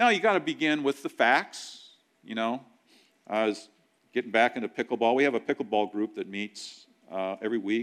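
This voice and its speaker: On a very clean recording with a silent background, a man with an ordinary speaking voice talks fairly quickly at a medium pitch, his pitch varying in an ordinary way. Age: 60s. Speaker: pastor. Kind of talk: sermon. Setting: church.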